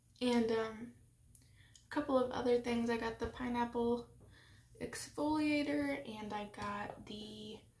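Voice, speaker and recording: A soft-spoken woman with a fairly high pitch talks at a fairly slow pace, her intonation lively. She leaves long, frequent pauses. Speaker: beauty youtuber. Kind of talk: makeup tutorial chat. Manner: hesitant with fillers.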